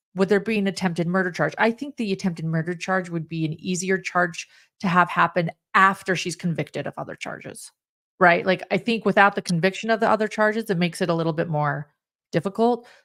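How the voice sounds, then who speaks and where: A woman with a slight Utah accent, medium pitch, and ordinary pitch variation at a very fast pace, dry and close with no echo, in a very clean recording with a silent background. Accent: slight Utah accent on some words. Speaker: true crime podcast panelist. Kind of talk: live podcast discussion. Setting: live stream.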